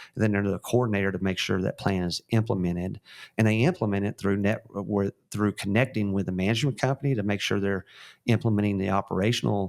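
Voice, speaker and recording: Talking very fast, a man with a Texan accent keeps to a fairly low pitch. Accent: Texan twang. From West Texas. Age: 50s. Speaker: real estate company founder and CEO. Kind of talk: interview. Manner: frequent fillers and restarts.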